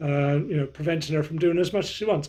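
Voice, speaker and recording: A man with a West Country accent. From southwest England, Somerset. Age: 60s. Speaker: fitness vlogger. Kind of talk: casual chat. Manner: halting.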